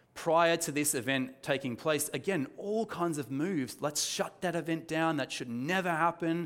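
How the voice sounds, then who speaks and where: A man talks at a fairly quick pace with an Australian accent. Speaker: pastor. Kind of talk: sermon. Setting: church with congregation. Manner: calm, soft; hesitant, many fillers.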